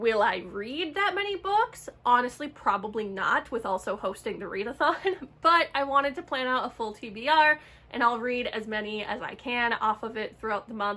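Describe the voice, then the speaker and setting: Over noticeable background noise, a woman with a high voice talks at a moderate pace with hardly any pauses, her pitch swinging very widely. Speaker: book vlogger. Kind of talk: casual vlog talk.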